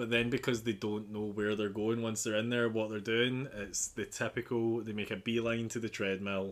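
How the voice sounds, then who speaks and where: A medium-pitched man with a slight Glaswegian accent, monotone, flat intonation, a moderate pace, and hardly any pauses, on a very clean recording with a silent background. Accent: slight Glaswegian Scottish. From Glasgow, Scotland. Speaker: podcast host. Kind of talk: casual chat. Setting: home, watching American football.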